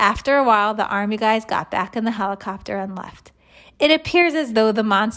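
Reading done in a natural voice

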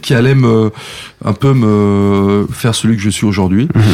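Dark and mellow in tone, a man speaks at a fairly low pitch. His pace is fairly slow. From France, Savoie (Saint-Jean-de-Maurienne). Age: 50s. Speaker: show producer and former radio programme director. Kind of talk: interview. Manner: hesitant, many fillers.

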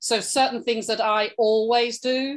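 Against a quiet background, a woman with a high pitch and an English accent talks at a fairly slow pace in a monotone, flat intonation. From England. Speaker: podcast co-host, online entrepreneur. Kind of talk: casual chat.

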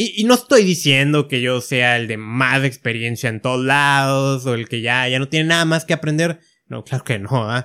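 The man's medium-pitched voice has a bright, sharp tone and moves at a moderate pace with hardly any pauses. The recording is very clean, with a silent background. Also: ordinary pitch variation. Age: 30s. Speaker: podcast host. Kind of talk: solo podcast monologue. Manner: hesitant with filler words.

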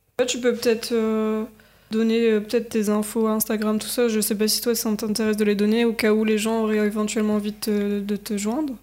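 At a fairly quick pace, a woman speaks in a fairly high pitch with a dark, mellow tone and monotone, flat intonation. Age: 20s. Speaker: podcast host. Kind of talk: interview.

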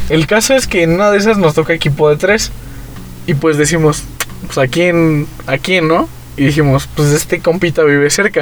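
A man's fairly high voice at a moderate pace, ordinary pitch variation, noticeable background noise behind it. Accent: Mexican. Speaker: podcast host. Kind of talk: casual chat.

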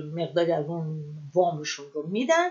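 The pace is moderate as a woman talks. Her pitch moves in very wide swings. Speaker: podcast host. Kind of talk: casual monologue.

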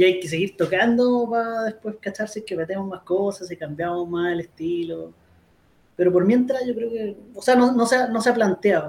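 With a Chilean accent, a man speaks at a moderate pace. His pitch is high, with ordinary variation. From Chile, Molina. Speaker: keyboard player. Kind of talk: casual chat.

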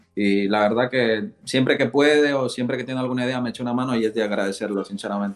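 This man talks at a very fast pace with hardly any pauses. His medium pitch shows ordinary variation. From Ecuador, moved to Spain at 8. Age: 20s. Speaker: rapper. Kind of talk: casual interview.

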